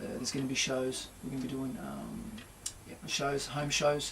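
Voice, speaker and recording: A man with an Australian accent speaks at a fairly quick pace and a fairly high pitch. There is audible room echo and noticeable background noise. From Australia, Port Kembla NSW. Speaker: singer-songwriter and guitarist. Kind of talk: radio interview. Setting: radio studio.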